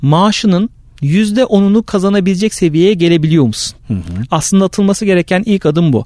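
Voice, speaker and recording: Speaking at a moderate pace with lively intonation, a man comes through in a dry, close sound with no echo. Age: 30s. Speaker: marketing consultant. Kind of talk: casual chat.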